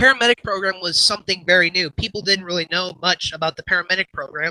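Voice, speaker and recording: In a raised, projected voice, a man talks at a very fast pace with a high pitch, a bright, sharp tone and fairly even intonation, the sound dry and close with no echo. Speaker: animation youtuber. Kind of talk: casual livestream chat. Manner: halting, filler-heavy.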